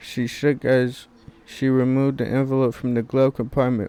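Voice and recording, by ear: This is someone reading aloud in a natural voice. The delivery is read rather than spoken off the cuff.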